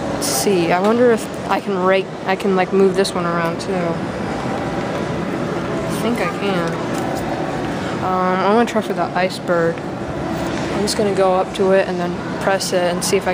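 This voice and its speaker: Long, frequent pauses break up speech at a moderate pace. Loud background noise is present. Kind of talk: casual vlog commentary. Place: shop. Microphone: phone near.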